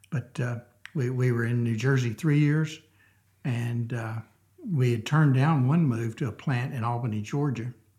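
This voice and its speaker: With a Southern US accent, a man speaks at medium pitch and a moderate pace in a dark, mellow, somewhat breathy tone with fairly even intonation. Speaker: church member sharing his story. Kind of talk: casual interview chat. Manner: halting, many fillers.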